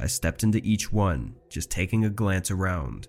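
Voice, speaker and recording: A man with a plain, everyday voice talks at a fairly low pitch with ordinary pitch variation on a very clean recording with a silent background. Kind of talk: true-crime horror narration, reading listener-submitted stories aloud. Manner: tense and ominous, building dread.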